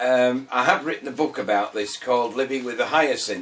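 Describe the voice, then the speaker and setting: A man speaks with a Yorkshire accent. Noticeable background noise runs under his voice. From northern England, Scarborough, North Yorkshire. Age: 60s. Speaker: retired man telling his life story. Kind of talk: personal life story interview. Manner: hesitant, many fillers.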